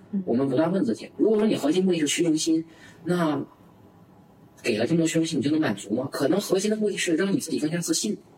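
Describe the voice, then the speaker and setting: The speaker sounds animated, talking very fast with lively intonation in a Northeastern Chinese accent. Noticeable background noise can be heard. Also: man, high pitch for a man. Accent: Northeastern Mandarin. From Northeast China. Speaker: entrepreneur. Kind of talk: interview. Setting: office.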